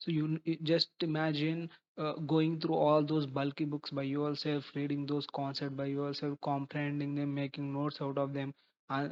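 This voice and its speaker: A man with an Indian accent, monotone, flat intonation and a moderate pace, set against a quiet background. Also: fairly high pitch for a man. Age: 20s. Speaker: chartered accountant. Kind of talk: advice talk to camera. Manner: halting.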